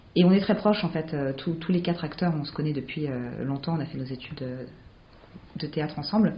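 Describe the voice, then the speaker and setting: A woman's very deep, low voice, somewhat breathy, with ordinary pitch variation and audible room echo. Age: 20s. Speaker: playwright and actress. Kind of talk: interview.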